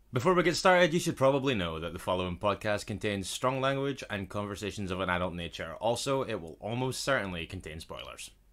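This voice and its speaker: A man with a Scottish accent, fairly low-pitched with very wide pitch swings, at a very fast pace with hardly any pauses. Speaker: podcast co-host. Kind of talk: casual podcast conversation.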